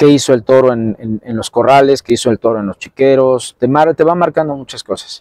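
A man speaks at a medium pitch with ordinary pitch variation. The background is quiet. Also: dry sound with no echo. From Mexico City (Tacubaya); Mexico City. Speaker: bullfighter (banderillero); interviewee. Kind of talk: interview. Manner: halting, many fillers. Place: open country.

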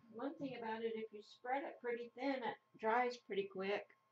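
There is light background noise as a woman talks in a high voice with an American accent. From Idaho, US. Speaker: craft YouTuber. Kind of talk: casual crafting tutorial chat. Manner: rambling, hesitant with many fillers. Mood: relaxed, chatty. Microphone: camera far.

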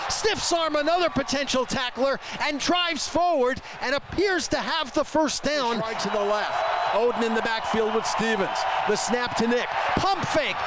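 A man speaks fairly slowly in an animated, energetic tone, his pitch swinging very widely. His loudness stays very even, with noticeable background noise behind him. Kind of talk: live sports play-by-play commentary. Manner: animated, breathless, energetic.

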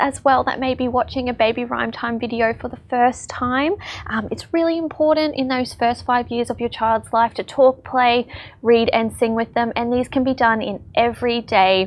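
A woman with a high-pitched voice talks at a moderate pace. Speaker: presenter. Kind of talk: tutorial. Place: hall.

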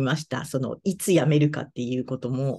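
The voice carries vocal fry and moves at a moderate pace. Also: woman. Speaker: fortune teller; interviewee. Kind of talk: interview; interview answer. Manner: halting. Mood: friendly, smiling. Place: home room. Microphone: video call.

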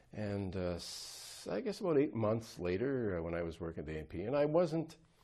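With an Ontario accent, a man speaks at a moderate pace in a dark, mellow tone, his fairly low pitch making very wide swings over a quiet background. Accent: Canadian (Ontario). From Ottawa Valley, Ontario, Canada; Ontario, Canada. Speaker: politician, former police officer; politician interviewee. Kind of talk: interview conversation. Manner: halting. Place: home room. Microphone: lapel.

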